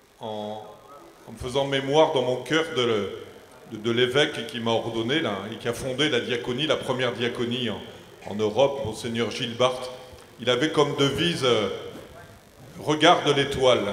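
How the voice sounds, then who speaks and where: A man's medium-pitched voice at a fairly slow pace, with long, frequent pauses, ordinary pitch variation, audible room echo and noticeable background noise. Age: 60s. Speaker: deacon. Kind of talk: round-table talk. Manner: halting, repeats words.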